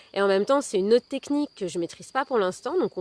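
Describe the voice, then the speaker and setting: The speech runs at a very fast pace. The recording is very clean and silent in the background, dry and close with no echo. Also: woman. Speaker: wellbeing content creator and storyteller. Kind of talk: personal testimony video monologue. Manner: hesitant, many fillers.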